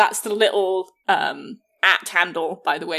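A woman is speaking. Her tone is bright and sharp. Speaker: English teacher. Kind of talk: casual chat.

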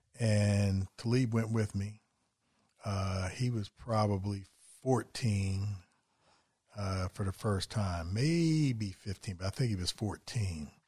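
A man speaks at a fairly low pitch with a dark, mellow, somewhat breathy tone and ordinary pitch variation. His pace is very slow, broken by long, frequent pauses. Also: very clean recording, silent background. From West Virginia. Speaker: foster and adoptive parent. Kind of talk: casual chat.

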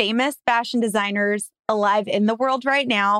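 With an American accent, a woman in an unremarkable speaking voice talks at a moderate pace, her fairly high pitch showing ordinary variation. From Los Angeles, US. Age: 30s. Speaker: podcast host. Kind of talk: casual chat.

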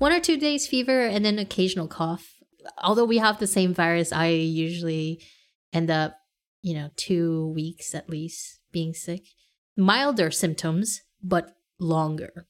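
A woman speaks in an ordinary speaking voice, her fairly low pitch carried by lively intonation. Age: 30s. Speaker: podcast co-host. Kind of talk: casual chat.

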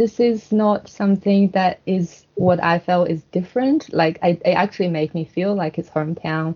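In a Chinese accent, a woman speaks at medium pitch and a moderate pace, somewhat breathy, with ordinary pitch variation. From China, Shenyang. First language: Mandarin Chinese. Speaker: guest. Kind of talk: casual chat. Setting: video call.

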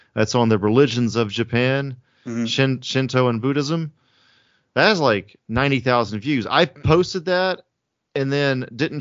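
A plain, everyday voice with an American accent moves at a fairly slow pace. The pitch varies in an ordinary way. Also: man. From US South (Alabama/Georgia). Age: 30s. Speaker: film director. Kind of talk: casual interview. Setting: video call.

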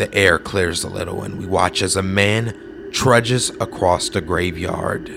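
Over noticeable background noise, a man with a fairly low pitch speaks at a fairly slow pace, his intonation fairly even and his pauses very few. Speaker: horror story podcast narrator. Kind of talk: spooky storytelling read aloud. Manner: suspenseful, measured narration building dread; voices characters, gentle tone for the mother.

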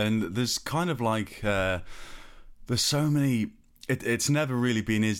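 This man has an ordinary speaking voice, moving at a moderate pace with ordinary pitch variation. The recording is very clean and the background silent. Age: 30s. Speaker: podcast host, designer. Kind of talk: interview.

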